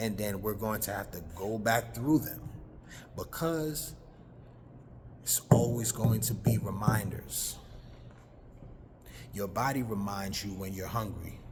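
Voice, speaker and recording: Loudness swings widely in this fairly slow delivery with ordinary pitch variation and long, frequent pauses, and the room echo is audible. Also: man, fairly low pitch for a man. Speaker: spiritual talk show host. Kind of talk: monologue on health and spirituality. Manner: slow, deliberate.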